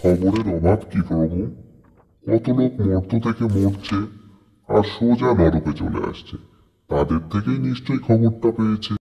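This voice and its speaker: A man puts on a cartoonish character voice, fairly low in pitch, with lively intonation. He speaks at a fairly slow pace. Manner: deferential, precise.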